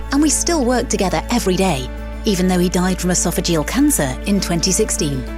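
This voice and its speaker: A woman talks at a very fast pace with very even loudness. Music plays in the background. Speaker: voice actor. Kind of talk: podcast host narration.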